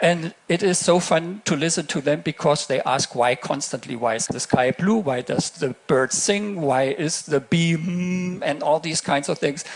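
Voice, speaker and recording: A man with a German accent speaks at a fairly high pitch with ordinary pitch variation. His pace is fairly slow, with hardly any pauses. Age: 60s. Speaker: astronaut. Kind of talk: keynote speech. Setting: stage with audience. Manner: halting.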